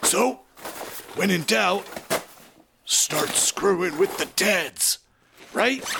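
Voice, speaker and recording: A man uses a put-on character voice, raised and projected. His pace is fairly slow. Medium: audio drama. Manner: wisecracking, irreverent.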